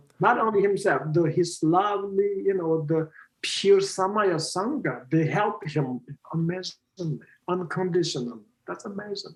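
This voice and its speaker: Speaking in a Tibetan accent, a man talks at a moderate pace. His pitch is high. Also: ordinary pitch variation. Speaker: Buddhist teacher. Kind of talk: interview conversation. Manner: halting.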